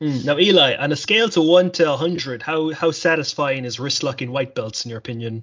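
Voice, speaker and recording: A man with an Irish accent speaks at a fairly quick pace with hardly any pauses. His fairly high voice shows ordinary pitch variation. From Ireland. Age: 20s. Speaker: podcast host. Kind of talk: casual chat.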